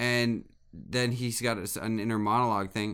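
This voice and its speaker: A man speaks in an unremarkable speaking voice, fairly low in pitch, with fairly even intonation. His pace is fairly slow, and the recording is very clean with a silent background. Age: 30s. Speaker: podcast co-host. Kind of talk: casual chat.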